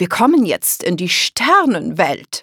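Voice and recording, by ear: A put-on character voice with a bright, sharp tone, a slightly husky edge and big pitch swings moves at a slow pace. The sound is dry and close with no echo, on a very clean recording with a silent background.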